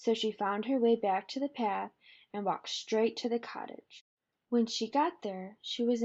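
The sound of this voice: Quiet background behind an unforced reading voice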